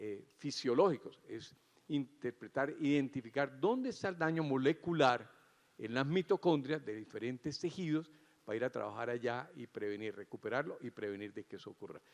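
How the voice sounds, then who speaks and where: A man has an ordinary speaking voice, fairly high in pitch, with lively intonation. He speaks at a moderate pace, and the sound is dry and close with no echo. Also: big swings in loudness. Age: 60s. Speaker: cardiac surgeon giving opening remarks. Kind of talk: conference keynote speech.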